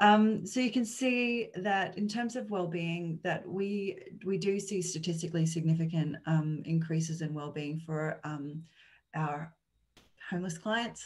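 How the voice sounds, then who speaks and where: At a fairly slow pace, a woman speaks in a somewhat breathy, fairly low voice with ordinary pitch variation. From Australia (Sydney). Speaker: charity researcher presenting on homelessness. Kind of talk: conference presentation. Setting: online conference. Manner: halting, many fillers.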